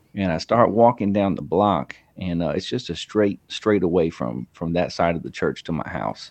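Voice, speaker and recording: With very deep, low pitch and vocal fry, a man talks at a moderate pace with lively intonation and hardly any pauses. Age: 30s. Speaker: podcaster. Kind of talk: casual chat.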